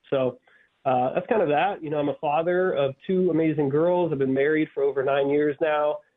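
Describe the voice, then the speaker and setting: At a moderate pace, a man talks in a fairly high pitch with very even loudness. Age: 30s. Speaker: army veteran and author. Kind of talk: radio interview. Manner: earnest, intense.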